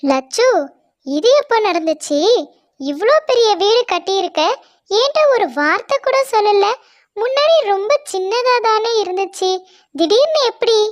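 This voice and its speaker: In a cartoonish character voice, a woman speaks very slowly at an extremely high pitch, with very wide pitch swings and very even loudness. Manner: teasing, skeptical.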